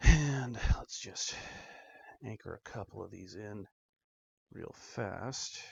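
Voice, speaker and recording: A man whispers and mumbles at a very slow pace, his volume swinging widely. His voice is somewhat breathy, broken by long, frequent pauses. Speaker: DIY tech hobbyist. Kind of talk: tutorial with self-talk. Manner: whispering, mumbling to self.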